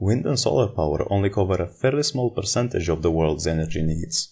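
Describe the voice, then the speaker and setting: Speaking with a non-native accent, a man with a very deep, low pitch talks at a fairly quick pace, somewhat breathy, with very wide pitch swings. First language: not English. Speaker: video essayist. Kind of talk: scripted commentary.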